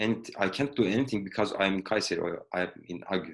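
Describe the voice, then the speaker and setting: With a Turkish accent, a man speaks with lively intonation. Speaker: project engineer, alumnus. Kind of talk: career talk interview. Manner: halting.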